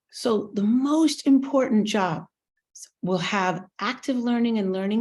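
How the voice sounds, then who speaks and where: Somewhat breathy, a woman with an American accent talks at a fairly slow pace with ordinary pitch variation. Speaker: university teaching center director. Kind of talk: talk to children. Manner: simple, engaging.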